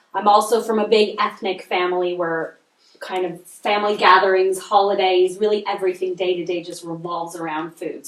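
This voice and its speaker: Speaking at a fairly quick clip, a woman with a Canadian accent uses a plain, everyday voice, medium in pitch, with fairly even intonation. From Canada, Montreal. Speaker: nutritional consultant and chef. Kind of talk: podcast interview.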